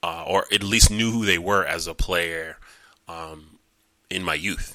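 A man with an American accent speaks at a fairly slow pace in a bright, sharp tone, his intonation fairly even. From New York City (Queens), later Long Island. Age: 30s. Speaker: podcast host, former lacrosse player. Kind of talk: casual monologue. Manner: halting, many fillers.

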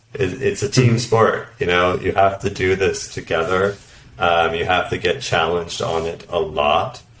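A man in a Canadian accent talks fairly slowly at a fairly low pitch, with noticeable background noise behind him. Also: ordinary pitch variation. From Canada. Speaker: product director. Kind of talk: interview.

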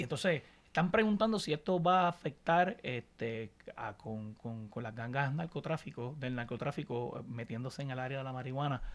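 Lively intonation runs through this man's speech. His pitch is in the middle range. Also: moderate pace. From Puerto Rico (Añasco, west coast). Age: 30s. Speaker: podcast co-host. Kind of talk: casual chat.

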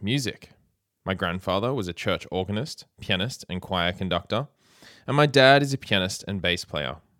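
Lively intonation marks this man's fairly low-pitched voice, delivered with an Australian accent. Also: very clean recording, silent background. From Australia, Sydney. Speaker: music teacher and podcast host. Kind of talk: keynote speech. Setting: conference stage.

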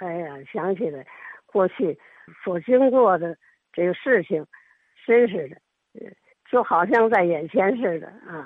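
Her intonation is lively. The woman speaks at a very slow pace. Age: 80s+. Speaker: elderly storyteller. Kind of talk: reminiscence monologue.

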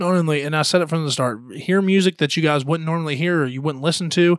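A man with an American accent and a fairly high pitch speaks with ordinary pitch variation in a very clean recording with a silent background. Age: 20s. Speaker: podcast host and musician. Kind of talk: casual chat. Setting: studio.

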